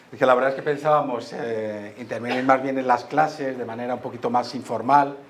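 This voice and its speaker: With noticeable background noise behind him, a man talks at a fairly quick pace in a medium pitch. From Madrid, Spain. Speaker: history professor. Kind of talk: school talk. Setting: school assembly hall with microphone.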